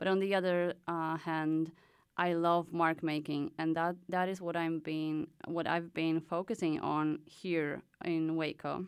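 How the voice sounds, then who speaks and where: A woman speaks at a fairly slow pace with a Polish accent, her pitch fairly low and her intonation flat and monotone. The recording is very clean, with a silent background. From Poland. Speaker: artist in residence. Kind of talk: casual interview chat. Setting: studio.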